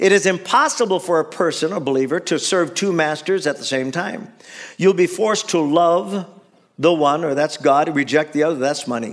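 An American accent at a moderate pace, with ordinary pitch variation and a quiet background. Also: man, high pitch for a man. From US. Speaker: pastor. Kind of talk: sermon. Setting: church. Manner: animated, call-and-response preaching; repeats phrases and restarts sentences, conversational. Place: church.

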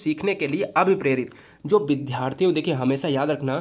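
An animated male voice with lively intonation, on a very clean recording against a silent background. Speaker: exam prep teacher. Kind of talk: tutorial.

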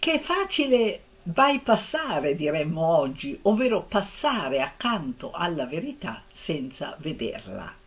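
Slowly, very slowly, a woman speaks with very wide pitch swings. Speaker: literature lecturer. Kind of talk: literary lecture. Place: home room. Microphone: webcam.

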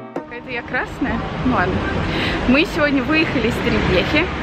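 Music runs in the background. Over it, a woman speaks at a fairly quick pace. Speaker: vlogger. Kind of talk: casual vlog chat. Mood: cheerful, joking. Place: street. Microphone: phone near.

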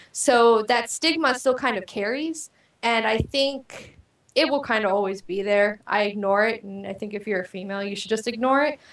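A woman with a fairly high voice talks at a moderate pace with ordinary pitch variation, and audible room echo surrounds her. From Panama. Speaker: gamer, guest; guest. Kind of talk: interview. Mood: relaxed, friendly. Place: home room. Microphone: video call.

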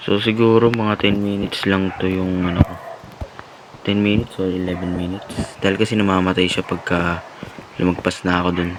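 Monotone, flat intonation comes through noticeable background noise. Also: man, very deep, low pitch for a man, moderate pace. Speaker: gaming youtuber. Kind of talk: let's play commentary.

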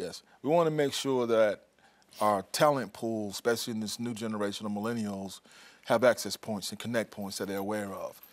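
Talking at a fairly quick pace with an American accent, a man shows big swings in loudness and ordinary pitch variation. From South Carolina. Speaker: regional workforce advisor. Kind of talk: TV interview. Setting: studio. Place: studio. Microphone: lapel.

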